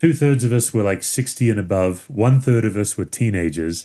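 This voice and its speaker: A man with an Australian accent, dark, mellow tone and lively intonation. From Western Australia (Perth). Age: 50s. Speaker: pastor and author. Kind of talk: podcast interview. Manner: casual, conversational.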